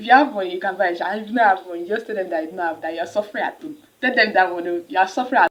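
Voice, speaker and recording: A woman speaks with a Nigerian accent and lively intonation. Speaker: university student vlogger. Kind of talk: casual advice vlog. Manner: fast; animated.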